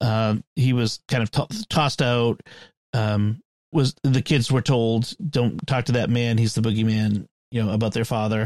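In a very clean recording with a silent background and a dry, close sound with no echo, a man with a plain, everyday voice speaks at a medium pitch with ordinary variation and a fairly slow pace. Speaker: podcast host. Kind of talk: casual chat.

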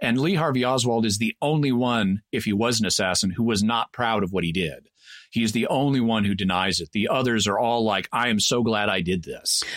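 Here a man uses a normal speaking voice at a medium pitch with ordinary pitch variation. He talks at a fairly quick pace, his loudness very even. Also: very clean recording, silent background. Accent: American. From Texas. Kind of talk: casual explanatory discussion.

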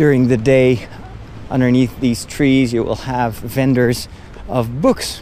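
Over noticeable background noise, a man talks at a very slow pace in a monotone, flat intonation. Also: medium pitch for a man. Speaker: priest and podcast host. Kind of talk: walking tour narration. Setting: outdoors.

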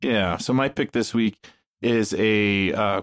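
A man with an unremarkable speaking voice and a fairly low pitch shows ordinary pitch variation, recorded dry and close with no echo over a quiet background. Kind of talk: casual panel discussion. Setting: remote call with his parents present.

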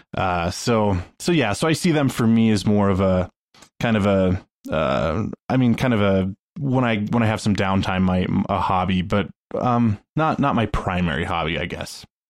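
Here is a man with an ordinary speaking voice and fairly low pitch. He keeps a moderate pace and lively intonation. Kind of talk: casual panel chat.

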